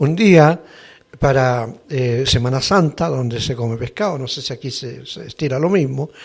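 A somewhat breathy man talks at a moderate pace in a medium pitch, with ordinary pitch variation and big swings in loudness. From northern Chile, Antofagasta. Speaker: actor and seminar teacher. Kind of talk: interview. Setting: studio.

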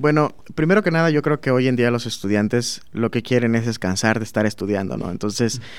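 The speech races at a very fast pace with hardly any pauses and ordinary variation in pitch. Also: man, medium pitch for a man. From southern Veracruz, Mexico (Minatitlán). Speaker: master's student in chemical engineering. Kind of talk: interview.

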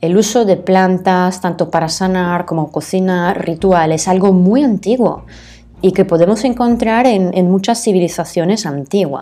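In an Italian accent, a woman with a medium pitch speaks at a fairly slow pace. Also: ordinary pitch variation. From northern Italy, Bergamo province. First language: Italian (speaking Spanish). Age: adult. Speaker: aromatherapist. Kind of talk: solo podcast talk. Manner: hesitant, many fillers.

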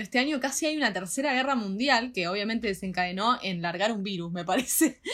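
With a Rioplatense accent, a woman speaks in a bright, sharp tone with lively intonation. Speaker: podcast co-host. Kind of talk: casual chat.

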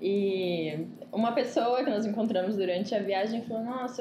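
A woman's medium-pitched voice with ordinary pitch variation, amid noticeable background noise and audible room echo. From Ribeirão Preto, São Paulo state, Brazil. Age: 20s. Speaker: economist turned traveler, digital nomad. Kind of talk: casual interview chat.

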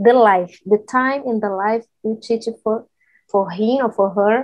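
This woman speaks at a very slow pace in a Brazilian Portuguese accent. Her pitch is fairly high and her intonation fairly even. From northeast Brazil, Recife. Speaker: technology professional. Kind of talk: casual English practice conversation. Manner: halting, searching for words.

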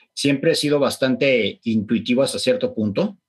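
An ordinary speaking voice, belonging to a man with a fairly high pitch. He keeps a moderate pace. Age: 40s. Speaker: keto diet practitioner and clinic owner. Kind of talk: interview conversation.

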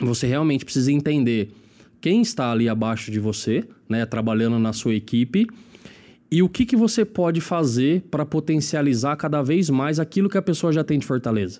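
Lively intonation runs through this man's dark, mellow voice. He speaks with an interior São Paulo accent. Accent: interior São Paulo accent, rolled R. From Lins, interior of São Paulo state. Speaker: marketing executive. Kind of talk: casual chat.

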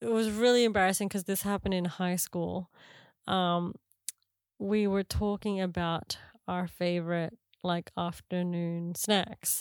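A woman with an Australian accent speaks at a fairly slow pace. The recording is very clean with a silent background, and the sound is dry and close with no echo. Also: medium pitch for a woman, fairly even intonation. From Australia (Canberra), Filipino parents. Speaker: podcast host. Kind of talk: casual chat.

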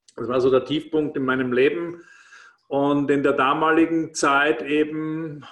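This man's voice sits at a fairly high pitch, delivered in a monotone, flat intonation. He speaks at a fairly slow pace. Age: 50s. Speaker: former restaurateur and network marketing speaker. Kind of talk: casual interview. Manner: hesitant, with frequent fillers and repetitions.

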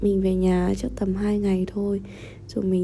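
A woman's very slow, somewhat breathy voice, dark and mellow in tone, at a medium pitch with ordinary pitch variation. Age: 20s. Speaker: vlogger. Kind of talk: personal diary monologue.

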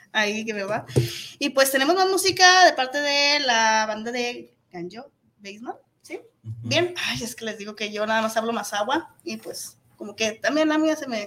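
Speaking in an ordinary speaking voice, a woman keeps a moderate pace at a fairly high pitch with big swings in loudness. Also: lively intonation. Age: 40s. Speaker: internet radio host. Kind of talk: casual interview. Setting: radio studio.

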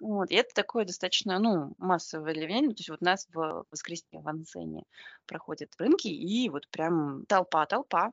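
A woman talks in an ordinary speaking voice with ordinary pitch variation. Her loudness swings widely. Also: fairly low pitch for a woman, moderate pace. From Belarus. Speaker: podcast host. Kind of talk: casual chat. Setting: remote call from Paris.

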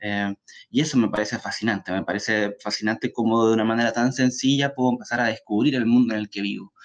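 A man rattles along very fast, mid-pitched and with fairly even intonation. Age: 30s. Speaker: author. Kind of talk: talk. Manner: halting.

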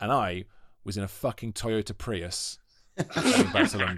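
In a Welsh accent, a man talks with lively intonation and an animated tone on a very clean recording with a silent background. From Wales, Monmouth. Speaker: actor and comedian. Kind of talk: casual chat.

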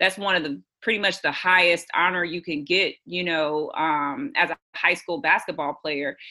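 Speaking at a moderate pace with an American accent, a woman uses an ordinary speaking voice at a fairly low pitch with ordinary pitch variation. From Houston, Texas. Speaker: author. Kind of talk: casual chat.

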